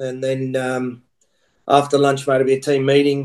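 A man speaks with an Australian accent. His pitch sits fairly high. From Australia (Queensland). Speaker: rugby coach. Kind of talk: casual chat.

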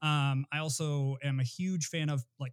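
Captured in a dry, close sound with no echo on a very clean recording with a silent background, a man with a plain, everyday voice speaks at a fairly high pitch with fairly even intonation. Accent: American. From Flint, Michigan. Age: 30s. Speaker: sports writer. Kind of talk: casual chat.

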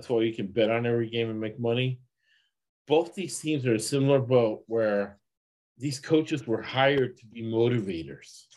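Against a quiet background, a man speaks at a moderate pace in a medium pitch with ordinary pitch variation. His loudness swings a lot. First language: not English. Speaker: sports betting podcast host and financial advisor. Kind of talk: casual chat.

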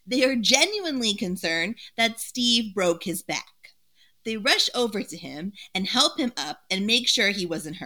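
A voice is heard. It is an unforced reading voice.

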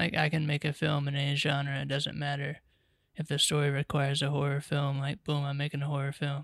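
Speaking with an American accent in a normal speaking voice, a man talks at a moderate pace and fairly high pitch. The recording is very clean with a silent background. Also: dry, close sound with no echo. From Charlotte, North Carolina. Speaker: podcast co-host, writer-director. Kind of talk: interview.

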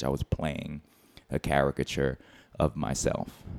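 Flat, monotone delivery with vocal fry comes at a moderate pace in an American accent. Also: man. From Philadelphia. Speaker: comedian.

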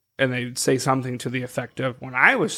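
The man's voice is medium in pitch with a bright, sharp tone. He talks at a fairly quick pace. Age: 30s. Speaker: podcast co-host. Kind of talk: casual chat.

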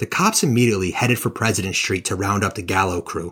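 In a very clean recording with a silent background, a man speaks in a dramatic tone. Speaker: podcast host. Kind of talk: true-crime narration, scripted storytelling. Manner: dramatic, steady storyteller; enthusiastic, casual.

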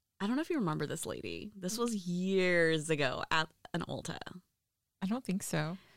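A woman talks at a moderate pace with lively intonation, her pitch fairly low. She has a plain, everyday voice. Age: 30s. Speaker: podcast host and hairstylist. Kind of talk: casual chat.

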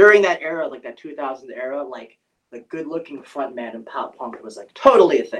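With an American accent, a man has an ordinary speaking voice, talking at a fairly quick pace in a fairly high pitch with lively intonation. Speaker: pop-punk band vocalist. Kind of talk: casual interview.

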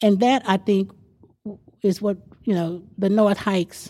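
This woman speaks with a Texas accent. Her intonation stays fairly even. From Texas Panhandle. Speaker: neighborhood association president. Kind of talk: interview.

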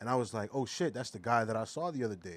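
A medium-pitched man with a Philadelphia accent and ordinary pitch variation. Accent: Philadelphia American. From US, Philadelphia. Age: 20s. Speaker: artist. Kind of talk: casual chat.

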